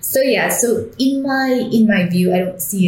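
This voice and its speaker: A woman with a Vietnamese accent speaks at a fairly slow pace. Noticeable background noise and audible room echo are present. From Vietnam, Hanoi. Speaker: startup CEO. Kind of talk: interview. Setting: in person.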